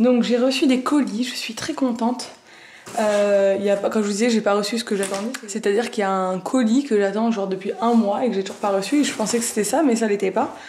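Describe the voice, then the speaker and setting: A fairly quick woman's voice, fairly high and fairly even in intonation, over noticeable background noise. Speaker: family vlogger. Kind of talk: casual vlog talk to camera. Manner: soft-spoken.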